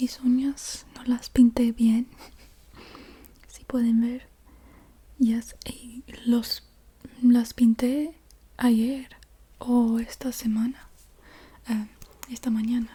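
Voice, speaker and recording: A soft-spoken woman with a non-native accent, high pitch, monotone, flat intonation, big swings in loudness and a very slow pace full of long, frequent pauses. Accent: non-native Spanish speaker, noticeable. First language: English (speaking Spanish). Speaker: ASMR youtuber. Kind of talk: ASMR object show-and-tell. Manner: halting, self-correcting.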